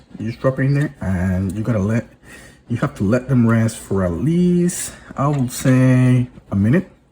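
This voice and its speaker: A man with lively intonation and a medium pitch talks while noticeable background noise fills the clip. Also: moderate pace. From Venezuela. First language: Spanish. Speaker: hobby video host. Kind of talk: tutorial. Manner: halting, with fillers and restarts.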